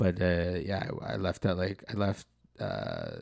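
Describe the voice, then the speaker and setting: Against a very clean recording and silent background, a man with a Canadian accent speaks very deep and low with vocal fry. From North Vancouver, Canada. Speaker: podcast host. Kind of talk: casual chat.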